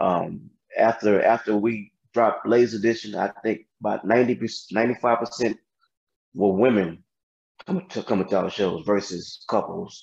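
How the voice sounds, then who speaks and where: This man has an American accent and talks at a fairly slow pace, with a medium pitch and ordinary pitch variation. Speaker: singer in R&B group. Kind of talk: interview.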